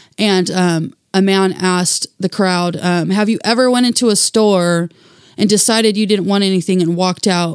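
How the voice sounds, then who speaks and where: A plain, everyday voice from a woman with an American accent, medium pitch, moderate pace and fairly even intonation. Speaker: activist and single mother. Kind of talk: interview conversation.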